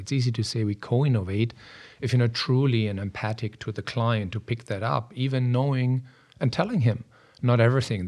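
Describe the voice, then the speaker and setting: On a very clean recording with a silent background, a somewhat breathy man at medium pitch talks at a fairly quick pace with ordinary pitch variation. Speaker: software product strategy executive. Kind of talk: casual interview.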